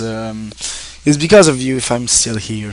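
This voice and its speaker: Over noticeable background noise, a man speaks fairly slowly with a Quebec accent. His intonation is lively. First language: French. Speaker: online streamer and game reviewer. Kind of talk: casual thank-you address to viewers. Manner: halting, many fillers and restarts.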